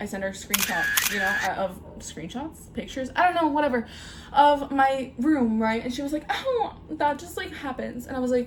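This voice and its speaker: A woman with a high pitch and lively intonation speaks at a moderate pace. Background noise is noticeable. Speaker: vlogger. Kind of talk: casual chat. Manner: animated; halting.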